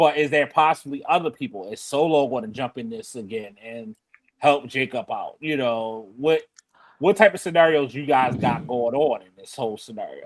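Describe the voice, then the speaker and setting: Fairly high in pitch, a man speaks at a moderate pace with lively intonation and big swings in loudness. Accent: Baltimore. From Baltimore, US. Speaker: wrestling podcast host. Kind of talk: casual chat.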